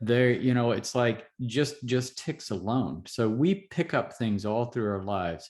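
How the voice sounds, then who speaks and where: A man speaks in an ordinary speaking voice at a medium pitch and a fairly slow pace against a quiet background. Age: 60s. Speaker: physician. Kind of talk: interview.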